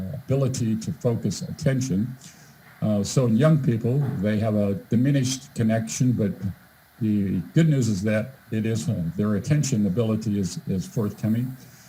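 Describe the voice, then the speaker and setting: With a dark, mellow tone and a somewhat breathy voice, a man talks at a moderate pace and medium pitch, his pitch varying in an ordinary way. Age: 60s. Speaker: volunteer presenter with medical background. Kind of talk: presentation. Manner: halting, many fillers and repeats.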